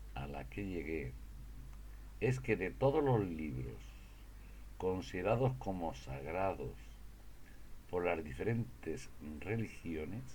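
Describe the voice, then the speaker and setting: A man's very slow speech with long, frequent pauses, very wide pitch swings and vocal fry, in audible room echo. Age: 70s. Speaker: religious speaker. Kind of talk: testimony. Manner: halting.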